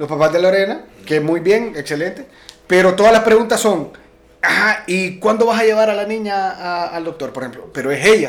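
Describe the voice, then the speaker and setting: This man's voice sits high and moves with ordinary pitch variation. He talks at a moderate pace over noticeable background noise. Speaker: podcast co-host. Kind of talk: casual chat.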